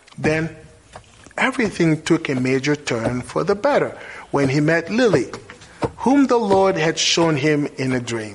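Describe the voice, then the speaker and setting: A man's fairly high voice with very wide pitch swings, a fairly slow pace and long, frequent pauses, over noticeable background noise. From DR Congo, Kinshasa. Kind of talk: scripted narration.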